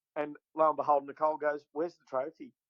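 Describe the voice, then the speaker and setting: A man speaks with an Australian accent at a fairly high pitch for a man. The sound is dry and close, with no echo. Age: 60s. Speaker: bass fishing tournament winner. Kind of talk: casual chat.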